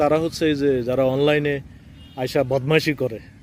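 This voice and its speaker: Noticeable background noise sits behind a man whose intonation is fairly even. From Bangladesh, Chandpur. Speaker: poet and vlogger. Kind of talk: travel vlog monologue. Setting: outdoors by railway line. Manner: halting.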